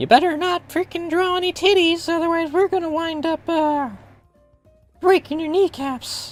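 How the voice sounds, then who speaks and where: A put-on character voice, extremely high and menacing, at a moderate pace over faint background music. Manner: playfully menacing.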